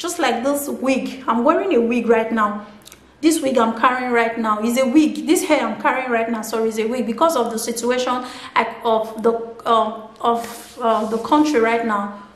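Amid audible room echo, a woman with a fairly high pitch and ordinary pitch variation talks at a moderate pace. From Nigeria. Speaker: motivational video blogger; vlogger. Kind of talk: motivational monologue. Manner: animated, repetitive. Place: home room.

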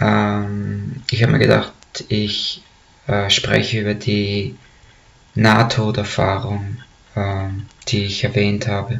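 A man with a fairly low pitch talks at a very slow pace with fairly even intonation and long, frequent pauses. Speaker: storyteller. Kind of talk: casual storytelling to camera. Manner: hesitant, many fillers. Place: home room. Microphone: webcam.

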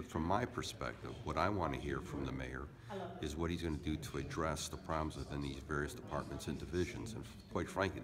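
Over clear music in the background, a man talks at a fairly quick pace with ordinary pitch variation. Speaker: city council member. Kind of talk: interview answer. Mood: serious, firm. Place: meeting room. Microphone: phone near.

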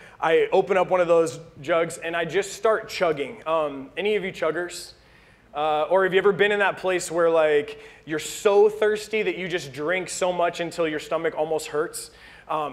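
Moderately paced, a man talks with a high pitch and fairly even intonation. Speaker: pastor. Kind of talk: sermon. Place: church.

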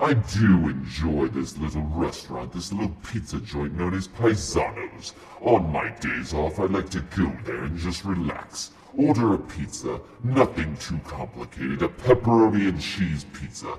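A man performs a put-on character voice at a very deep, low pitch and a moderate pace. Background noise is clearly audible. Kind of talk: comedic villain Q&A to camera. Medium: role play. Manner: theatrical, gloating.

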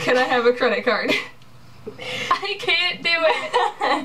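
A woman projects a raised voice at a high pitch and a very slow pace, her pitch swinging very widely, over light background noise. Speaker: vlogger. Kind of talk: casual game play with friends. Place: home room. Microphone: webcam.

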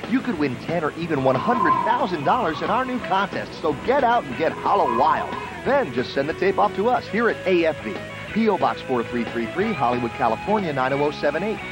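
A man speaks at a fairly quick pace with clear music behind him. The sound is dry, with no echo. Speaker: TV show announcer. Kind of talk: promotional announcement. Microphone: old recording.

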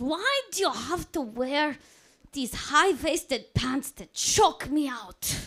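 A woman puts on a character voice with a Russian accent, speaking at a fairly slow pace in a high pitch. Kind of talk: stand-up comedy set. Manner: complaining.

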